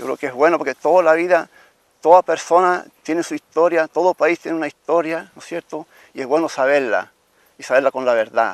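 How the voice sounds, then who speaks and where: A man talks at a fairly quick pace and fairly high pitch with ordinary pitch variation, in a dry, close sound with no echo. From Chile, Italian-Trentino colonist family. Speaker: interviewee telling family history. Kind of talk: oral history testimony. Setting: outdoors at former family home. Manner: fast; halting.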